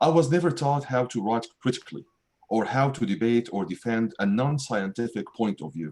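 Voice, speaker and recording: Speaking in an Arabic accent, a man has a medium pitch. His intonation is lively. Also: moderate pace. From Syria, Damascus. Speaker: writer and math professor. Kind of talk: reading aloud.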